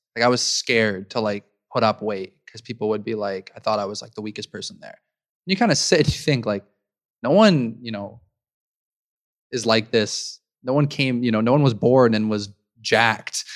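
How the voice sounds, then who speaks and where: At a moderate speed, this man talks in a medium pitch with ordinary pitch variation, using an ordinary speaking voice. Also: big swings in loudness. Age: 20s. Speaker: startup co-founder. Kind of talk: casual interview chat.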